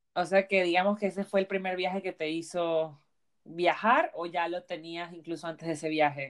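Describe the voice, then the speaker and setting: A woman with a normal speaking voice, fairly low in pitch, at a moderate pace with fairly even intonation. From Panama. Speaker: travel podcast host. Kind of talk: casual interview.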